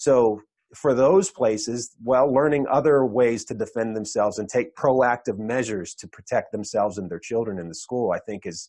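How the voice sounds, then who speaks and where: This man has a normal speaking voice at a medium pitch, with ordinary pitch variation. He talks at a moderate pace against a quiet background. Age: 40s. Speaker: firearms trainer and podcast host. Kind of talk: interview. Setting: video call.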